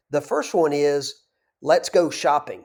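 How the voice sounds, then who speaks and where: Fairly slow speech from a man with a Southern US accent. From US South, North Georgia. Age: 50s. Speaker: business broker. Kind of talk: tutorial; direct-to-camera talk.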